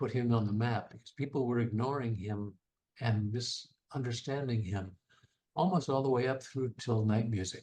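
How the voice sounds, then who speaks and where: With fairly even intonation and a moderate pace, a man's voice comes across as somewhat breathy. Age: 70s. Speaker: Broadway actor and singer. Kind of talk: interview. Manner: halting, repeats words.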